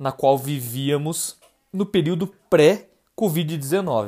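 Very slow, lively intonation from a man with a dark, mellow tone, in a very clean recording with a silent background. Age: 20s. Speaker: podcast host, university student. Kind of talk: podcast monologue and chat.

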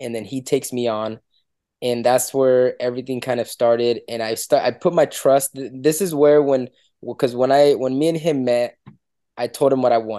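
Medium-pitched male voice, dark and mellow in tone, at a moderate pace with fairly even intonation. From Dominican Republic. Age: 20s. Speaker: competitive powerlifter. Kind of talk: casual interview chat. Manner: halting, repeats words.

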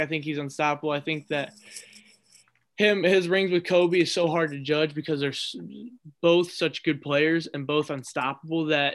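The speech comes at a moderate pace with an American accent. Its intonation is monotone and flat. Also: man. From Ohio, near Cleveland. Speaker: sports writer and college student. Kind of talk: casual chat.

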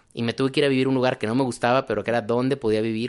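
Against a quiet background, a man of medium pitch talks at a very fast pace. His intonation stays fairly even. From Mexico, Guadalajara. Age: 30s. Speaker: physician. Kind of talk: interview conversation.

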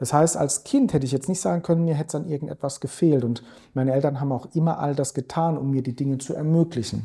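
The voice is dark, mellow and somewhat breathy, moving at a very fast pace with ordinary pitch variation. The recording is very clean with a silent background. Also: man. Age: 40s. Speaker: investment strategist. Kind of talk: podcast interview. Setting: office.

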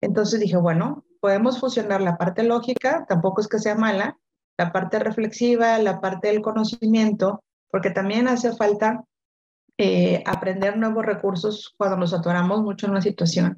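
A woman talks at a moderate pace with a medium pitch. Her intonation is fairly even and her loudness very even. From Mexico, Monterrey. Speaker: coach and author. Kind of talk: interview. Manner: repeats words, hesitant fillers.

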